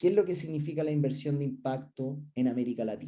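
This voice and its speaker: A man with a fairly high pitch speaks at a fairly quick pace, his somewhat breathy, dark, mellow tone carrying ordinary pitch variation amid audible room echo. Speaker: research director and business school professor. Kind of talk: conference presentation. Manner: some hesitations and filler sounds.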